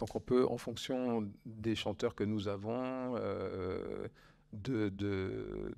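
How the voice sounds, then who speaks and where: This man has a fairly low pitch. His intonation stays fairly even. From France. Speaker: orchestra conductor. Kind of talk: public talk with audience. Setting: bookshop event with live audience. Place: shop.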